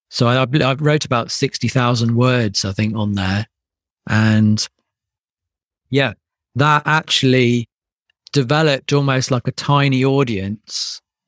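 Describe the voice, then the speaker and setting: The speaker has a British accent and fairly even intonation, moving at a fairly slow pace with long, frequent pauses. The sound is dry and close with no echo, on a very clean recording with a silent background. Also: man, medium pitch for a man. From UK. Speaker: e-commerce brand founder. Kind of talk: interview podcast.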